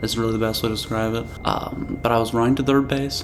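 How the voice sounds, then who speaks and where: Over music in the background, a soft-spoken man at medium pitch talks with fairly even intonation and audible room echo. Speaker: vlogger. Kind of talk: casual monthly review vlog. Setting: at family home, different setup. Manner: quiet, soft-spoken. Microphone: recorded quietly.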